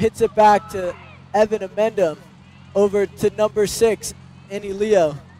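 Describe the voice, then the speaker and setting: A man's high-pitched voice at a moderate pace, dry with no echo, faint music in the background. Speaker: student sports commentator. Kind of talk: commentary.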